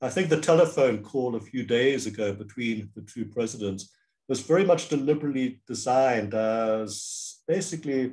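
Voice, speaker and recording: At a moderate pace, a man talks in a medium-pitched, dark, mellow voice with ordinary pitch variation against a quiet background. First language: Cantonese. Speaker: professor and diplomacy expert; professor. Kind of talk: interview answers, analytical. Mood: thoughtful, animated. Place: home room.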